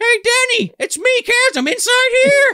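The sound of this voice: The voice is a put-on character voice pitched extremely high. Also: moderate pace.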